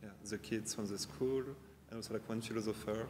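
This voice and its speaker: This man speaks in a French accent at a medium pitch. Room echo is audible around his voice. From France. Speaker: designer and teacher. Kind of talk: casual interview. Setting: large exhibition hall.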